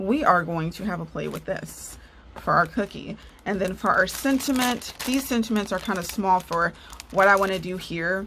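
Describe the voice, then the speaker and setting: Noticeable background noise surrounds a woman speaking at a medium pitch. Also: ordinary pitch variation, moderate pace. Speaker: card-making crafter and nurse. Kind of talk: crafting tutorial. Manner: animated.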